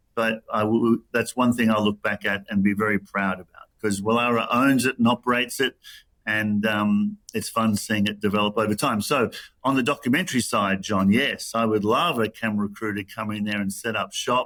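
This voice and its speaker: This bright, sharp voice moves at a moderate pace with fairly even intonation in a very clean recording with a silent background. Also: man, fairly low pitch for a man. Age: 60s. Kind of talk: interview. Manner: many fillers and repeated words.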